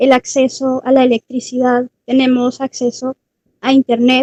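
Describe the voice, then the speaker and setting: A woman's high-pitched voice carries a dark, mellow tone. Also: dry, close sound with no echo. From Colombia. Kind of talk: panel talk. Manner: hesitant, many fillers.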